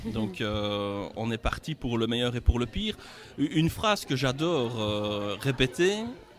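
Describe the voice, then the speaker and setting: Speaking at a fairly slow pace with a Belgian accent, a man uses lively intonation at a medium pitch. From Belgium. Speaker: company regional director, engineer. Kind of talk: interview at sponsorship signing event.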